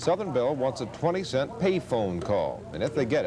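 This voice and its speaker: A man speaks at a moderate pace with an American accent, his pitch swinging very widely. Music plays in the background. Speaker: television news anchor. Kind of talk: television news anchor read. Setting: 1970s broadcast recording.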